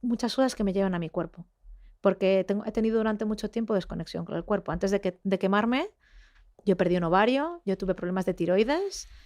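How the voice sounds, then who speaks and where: A woman talks at a very fast pace with ordinary pitch variation on a very clean recording with a silent background. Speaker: investigative journalist. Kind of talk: interview conversation. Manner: halting, many fillers.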